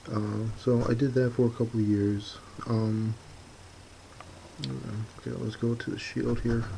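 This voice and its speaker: Soft-spoken, with an American accent and ordinary pitch variation, the speaker leaves long, frequent pauses. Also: man, medium pitch for a man, fairly slow pace. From US Midwest, Chicago suburbs. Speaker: hobby painting youtuber. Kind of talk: tutorial. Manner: halting.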